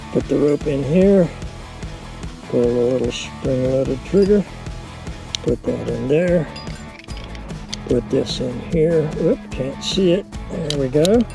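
A man at a very slow pace with long, frequent pauses, dry sound without echo, and clear music in the background. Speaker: rock climber. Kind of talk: casual talk to camera. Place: open country. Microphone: phone near.

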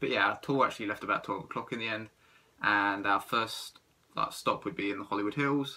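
A man with an ordinary speaking voice talks at a fairly quick pace and a fairly low pitch. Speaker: travel vlogger. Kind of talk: casual vlog chat. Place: home room. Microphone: phone near.

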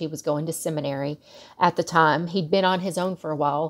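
Over a quiet background, a woman speaks at a fairly low pitch with ordinary pitch variation. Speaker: guest. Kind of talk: casual talk to camera. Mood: relaxed, reflective. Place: home room. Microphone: earbuds.

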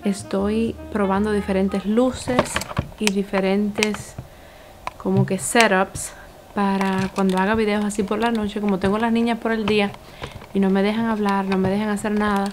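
A soft-spoken woman talks at a moderate pace in a flat, monotone delivery. Noticeable background noise runs through the clip. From Cuba. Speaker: YouTuber. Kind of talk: casual vlog review. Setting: home living room at night. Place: home room.

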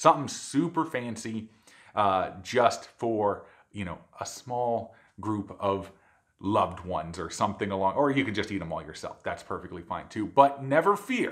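Over a quiet background, a man with a fairly low pitch talks at a moderate pace, his intonation lively and his loudness swinging widely. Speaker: cooking channel host. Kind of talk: cooking show intro.

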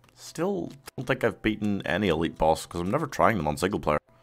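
This man has an Irish accent. His pace is fairly quick. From Ireland. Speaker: gaming streamer. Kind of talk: live stream chat. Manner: casual, halting. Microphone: studio mic.

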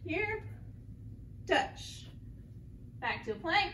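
A woman speaks with audible room echo. Light background noise sits behind her. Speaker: exercise instructor. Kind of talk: tutorial. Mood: friendly, upbeat. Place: gym. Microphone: camera far.

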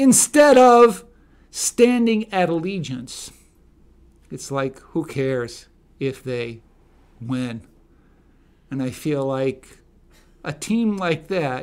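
A man speaks very slowly, leaving long, frequent pauses, while his pitch swings very widely. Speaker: political commentator. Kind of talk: opinion monologue commentary. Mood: indignant, opinionated. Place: studio. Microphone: studio mic.

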